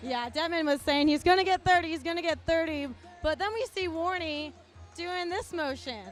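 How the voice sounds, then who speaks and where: Over music in the background, a woman with an extremely high pitch speaks in an upbeat tone at a moderate pace. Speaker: sports reporter and host. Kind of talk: live post-game report back to the studio anchors. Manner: upbeat, conversational.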